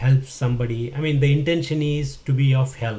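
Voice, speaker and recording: A man with a Kannada accent speaks at a moderate pace in a medium pitch, his intonation monotone and flat. His voice is somewhat breathy, with a dark, mellow tone. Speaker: tech tutorial YouTuber. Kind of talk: casual vlog talk to camera. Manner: hesitant, many fillers.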